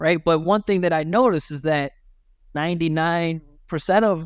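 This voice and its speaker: A man with an American accent and a high pitch speaks at a moderate pace on a very clean recording with a silent background. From Michigan, USA. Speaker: accent coach. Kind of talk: interview answer. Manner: casual, conversational.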